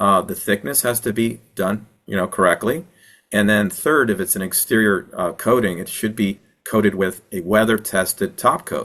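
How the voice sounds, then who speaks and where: With a bright, sharp tone, a man speaks at a fairly low pitch with ordinary pitch variation. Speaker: wildfire mitigation consultant and presenter. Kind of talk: webinar Q&A answering audience questions. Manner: fast.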